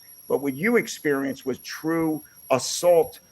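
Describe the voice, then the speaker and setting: This man speaks with a Philadelphia accent and a fairly high pitch. Vocal fry runs through his voice. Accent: Philadelphia-area American. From Pennsylvania, US. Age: 60s. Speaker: podcast host, musician. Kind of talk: interview. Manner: halting, many fillers and repeats.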